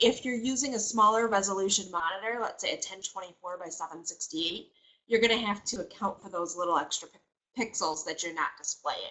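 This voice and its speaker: Speaking at a fairly quick pace with hardly any pauses, a woman at medium pitch shows ordinary pitch variation and big swings in loudness. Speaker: software trainer. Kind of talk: webinar tutorial. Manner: fast.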